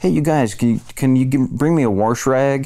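A man's put-on character voice, nasal and at a medium pitch, at a fairly slow pace.

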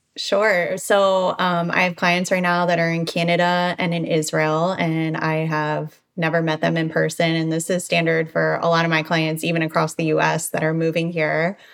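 In an American accent, a woman speaks at a moderate pace with a fairly low pitch, monotone, flat intonation and very even loudness. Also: hardly any pauses. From Baltimore, Maryland. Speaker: real estate agent. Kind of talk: interview.

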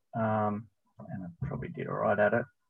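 With an Australian accent, the voice moves along at a fairly quick pace. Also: man. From Tasmania, Australia. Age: 40s. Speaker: running store manager and running coach. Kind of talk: casual interview. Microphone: unstable connection, drops out.

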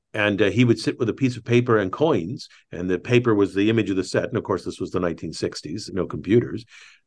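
Very fast talk from a man with an American accent, fairly low in pitch, with ordinary pitch variation. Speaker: author and YouTube engineering presenter. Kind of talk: casual interview chat.

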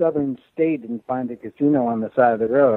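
A man with an unremarkable speaking voice talks at a fairly quick pace. His pitch variation is ordinary. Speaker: sports columnist. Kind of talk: casual interview chat about sports.

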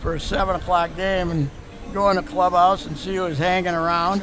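Music plays behind a man with an Upper Midwest accent who speaks at a high pitch with fairly even intonation. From Minnesota. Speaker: sports columnist. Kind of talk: interview storytelling.

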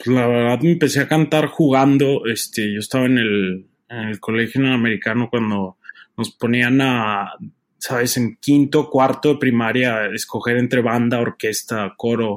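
In an ordinary speaking voice, a man talks at a moderate pace, with medium pitch and fairly even intonation. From Mexico, Torreón. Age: 20s. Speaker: opera tenor. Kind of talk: interview.

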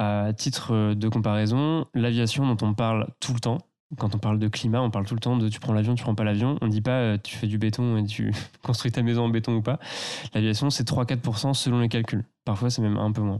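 A man with a medium pitch and a dark, mellow tone speaks at a moderate pace. His loudness stays very even and his intonation fairly even. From Loire valley, near Tours. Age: 20s. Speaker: eco content creator. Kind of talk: casual interview. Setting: host's living room.

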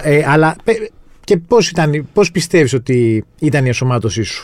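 With a plain, everyday voice, a man speaks at a moderate pace and fairly high pitch, his intonation lively. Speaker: podcast host, journalist. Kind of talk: podcast interview.

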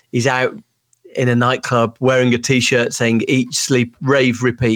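A man's medium-pitched voice with a Brummie accent, at a moderate pace, on a very clean recording with a silent background. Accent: Birmingham (Brummie). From Birmingham, England. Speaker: author and former tech executive. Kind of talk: interview.

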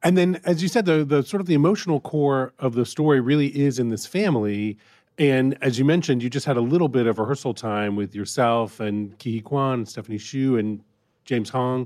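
Against a quiet background, a man with an unremarkable speaking voice talks at a fairly quick pace. His medium pitch rises and falls with lively intonation. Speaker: podcast co-host, film interviewer. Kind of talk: interview.

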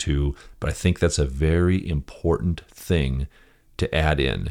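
Here a man with an American accent speaks in a very deep, low pitch. The recording is very clean, the background silent. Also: dry, close sound with no echo. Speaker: podcast host and property management coach. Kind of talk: solo podcast monologue, instructional.

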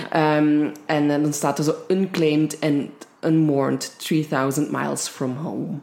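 A woman with a slight Limburg accent speaks very slowly in a very deep, low voice. Her intonation is fairly even, and there is noticeable background noise. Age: 20s. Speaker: true crime podcast co-host. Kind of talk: casual true crime storytelling. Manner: halting, many fillers.

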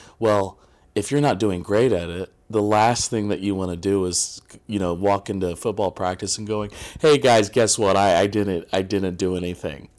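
Here a man talks at fairly low pitch with ordinary pitch variation. The recording is very clean and the background silent. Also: moderate pace. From Indiana, US Midwest. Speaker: filmmaker. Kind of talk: podcast interview. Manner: halting, many fillers.

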